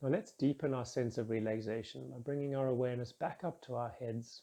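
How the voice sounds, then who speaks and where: A man at medium pitch, with a dark, mellow tone, a calm, soothing tone, and ordinary pitch variation. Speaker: meditation guide. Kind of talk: guided meditation. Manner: slow, calm, soothing.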